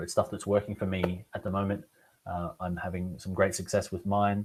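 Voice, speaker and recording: His voice very deep and low, a man speaks somewhat breathy in a monotone, flat intonation. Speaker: online business coach and webinar host. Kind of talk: webinar presentation. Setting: live online webinar. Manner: fast.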